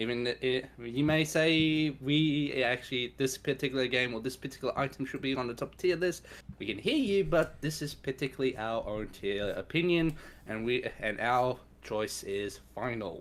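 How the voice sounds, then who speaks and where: The speaker has an Australian accent and talks at a moderate pace. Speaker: streamer. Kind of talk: casual chat.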